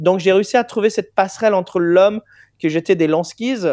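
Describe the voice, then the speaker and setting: A man with an English accent in a dry, close sound with no echo and a quiet background. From England. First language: English (speaking French). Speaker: singer. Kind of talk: interview.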